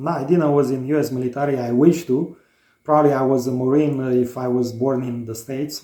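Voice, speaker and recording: With a Romanian accent, a man speaks at a moderate pace in a dark, mellow tone of medium pitch, using monotone, flat intonation. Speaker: DIY home builder, vlogger. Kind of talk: casual chat. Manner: halting, many fillers.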